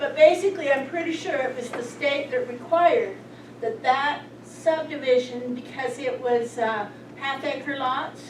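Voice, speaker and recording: Against noticeable background noise and audible room echo, a woman speaks at a fairly slow pace with an American accent. Her pitch is high, with ordinary variation. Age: 70s. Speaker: former sewer system operator. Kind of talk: town council meeting.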